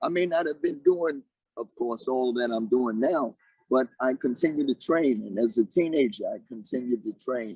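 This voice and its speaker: In a plain, everyday voice, a man speaks at a medium pitch and a moderate pace with ordinary pitch variation. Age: 60s. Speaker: martial arts grandmaster. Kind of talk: interview.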